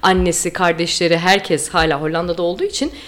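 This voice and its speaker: Speech comes at a fairly quick pace. Noticeable background noise is present. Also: woman. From Istanbul, Turkey. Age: 30s. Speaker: listener, tour participant. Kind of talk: casual chat.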